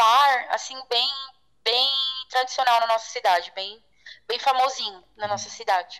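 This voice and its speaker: Her voice is raised and projected, with ordinary pitch variation. This woman has a bright, sharp tone. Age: 30s. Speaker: guest sharing personal story. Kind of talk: interview testimony.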